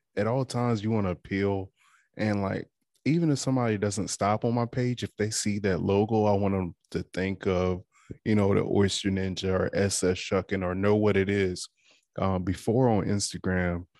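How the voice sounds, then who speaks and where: A man with an American accent speaks at a moderate pace in a fairly low pitch, with a plain, everyday voice. The sound is dry and close, with no echo. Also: fairly even intonation, quiet background. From Eastern Shore of Virginia, US. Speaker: oyster shucker and podcast host. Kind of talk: casual interview.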